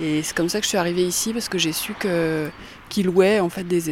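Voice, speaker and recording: A woman with a somewhat deep voice for her sex keeps her intonation fairly level as clear background noise runs underneath. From Langres, Haute-Marne, France. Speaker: arts venue organizer. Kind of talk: interview.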